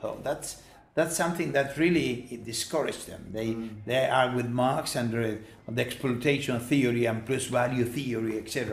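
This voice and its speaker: A man speaks with a Spanish accent at a moderate pace and a medium pitch. His pitch variation is ordinary, and there is noticeable background noise. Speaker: professor and charity founder. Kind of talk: interview. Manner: halting.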